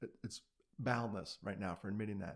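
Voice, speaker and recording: On a very clean recording with a silent background, a man with an American accent speaks at a fairly quick pace with fairly even intonation. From New York City (Brooklyn). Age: 50s. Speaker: suicide prevention advocate. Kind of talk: interview, personal story.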